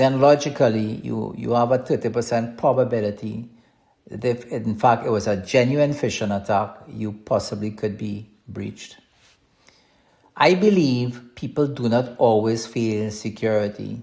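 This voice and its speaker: A man's dark, mellow, somewhat breathy voice at medium pitch with a strong Trinidadian accent, ordinary pitch variation and a moderate pace. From Trinidad and Tobago. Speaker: podcast host, cybersecurity consultant. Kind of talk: podcast monologue on business advice. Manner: hesitant, repeats words.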